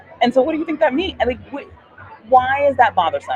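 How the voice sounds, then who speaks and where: The voice carries a bubbly, animated tone over noticeable background noise. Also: woman. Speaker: podcast host and veterinarian. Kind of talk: interview. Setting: live at a conference, noisy surroundings.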